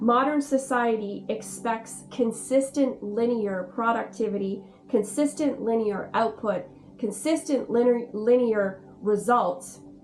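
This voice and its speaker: Over noticeable background noise, a woman with a Canadian accent talks at a fairly slow pace and a fairly high pitch, with ordinary pitch variation. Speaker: spiritual guide and video host. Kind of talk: casual talk-to-camera explainer.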